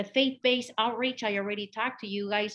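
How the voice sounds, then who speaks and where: A woman's fairly high voice in a Spanish accent, at a fairly quick pace against a quiet background. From Mexico. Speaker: community health outreach worker. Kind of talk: conference presentation. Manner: animated.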